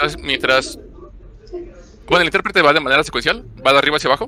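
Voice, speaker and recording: The voice has a bright, sharp tone and ordinary pitch variation, with a dry, close sound and no echo. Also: man. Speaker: programming course instructor. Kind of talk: online class lecture. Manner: fast.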